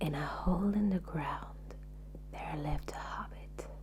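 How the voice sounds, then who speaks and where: A soft-spoken woman whispering very slowly in a calm tone, over noticeable background noise. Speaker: ASMR artist. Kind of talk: audiobook reading. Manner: whispered; soft-spoken, calm.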